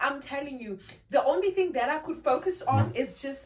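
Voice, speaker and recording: With very wide pitch swings, a woman speaks in a South African accent. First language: Xhosa. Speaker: vlogger. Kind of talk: casual vlog talk.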